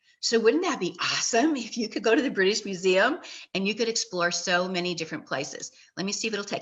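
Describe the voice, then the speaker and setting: Against a quiet background, a woman talks at a fairly quick pace in a fairly high pitch, her animated tone bright and sharp and her intonation lively. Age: 60s. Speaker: inspirational video host. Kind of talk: live-stream motivational talk.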